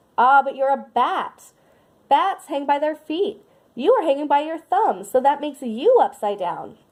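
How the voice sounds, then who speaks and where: A woman puts on a character voice, loud and high in pitch. She talks at a moderate pace. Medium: read story.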